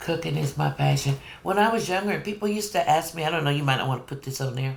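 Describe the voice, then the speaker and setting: Over noticeable background noise, a woman with a very deep, low pitch talks at a very fast pace, her tone animated and her intonation lively. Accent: American. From California. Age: 60s. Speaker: home cook. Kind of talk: cooking demonstration. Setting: home kitchen.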